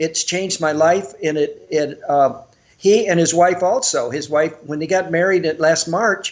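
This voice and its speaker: A man speaks at a high pitch and a fairly slow pace. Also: ordinary pitch variation. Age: 70s. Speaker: martial arts teacher. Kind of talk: casual chat.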